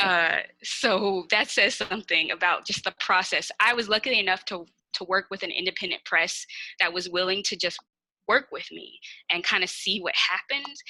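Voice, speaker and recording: A woman with a Kansas City accent, bright and sharp in tone, at a moderate pace, dry and close with no echo, on a very clean recording with a silent background. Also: medium pitch for a woman, ordinary pitch variation. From Kansas City, Missouri (inner city). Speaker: poet. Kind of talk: interview Q&A.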